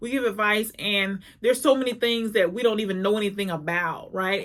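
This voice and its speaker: Noticeable background noise runs through the clip. The pitch varies in an ordinary way. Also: woman. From small town. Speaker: personal development coach and speaker. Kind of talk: motivational talk to camera. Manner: fast; halting, repeats words.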